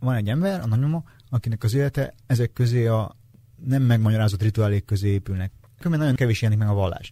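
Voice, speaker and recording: A man talks at a very fast pace at a medium pitch, with ordinary pitch variation. His tone is dark, mellow and somewhat breathy, and the sound is dry and close with no echo. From Transylvania, Romania. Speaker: novelist. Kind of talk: interview.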